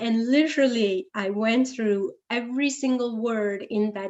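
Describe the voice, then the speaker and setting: This woman speaks with a Gujarati accent. Her pitch is fairly high. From India, Gujarat (Ahmedabad). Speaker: guest speaker, computer science professional. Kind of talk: talk to an audience. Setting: interactive session with audience.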